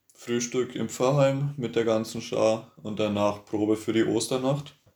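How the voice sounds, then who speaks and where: Monotone, flat intonation comes from a man. He speaks at a moderate pace. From Bavaria, Franconia (Herrieden). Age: 20s. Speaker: youth church volunteer. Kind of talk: casual chat.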